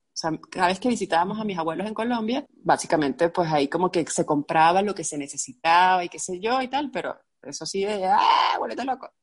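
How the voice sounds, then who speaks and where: Speaking with a Venezuelan accent, a woman uses a fairly low pitch and lively intonation. Her pace is moderate over a quiet background. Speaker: ceramicist, graphic designer. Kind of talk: casual chat. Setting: video call.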